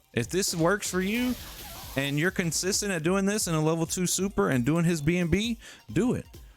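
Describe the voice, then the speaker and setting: Over background music, a man with a high pitch talks at a fairly quick pace in an animated tone with lively intonation. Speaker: gaming content creator. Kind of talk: tutorial.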